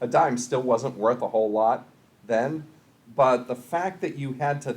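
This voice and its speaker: Lively in intonation, a man with an American accent speaks at medium pitch and a moderate pace. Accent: Boston accent in youth, largely trained away. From US Northeast, Boston area. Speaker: college instructor and public speaker. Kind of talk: lecture. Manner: measured pace, few filler words.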